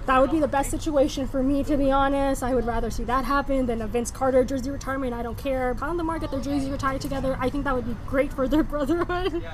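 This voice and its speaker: Talking at a very fast pace with hardly any pauses, a woman keeps a high pitch and fairly even intonation, with audible room echo and noticeable background noise. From Philippine-born, grew up in Jakarta, Indonesia. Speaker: podcast guest. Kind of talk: casual chat.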